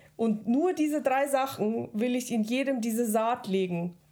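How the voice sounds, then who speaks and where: A woman talks in a high voice, and her pitch varies in an ordinary way. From Germany, Regensburg (Bavaria); born in Kazakhstan. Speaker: podcast co-host. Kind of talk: casual chat.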